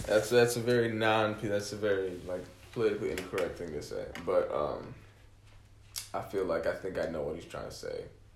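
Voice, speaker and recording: Talking at a fairly quick pace with an American accent, a man is heard with audible room echo. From Kalamazoo, Michigan. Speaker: musician. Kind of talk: casual chat.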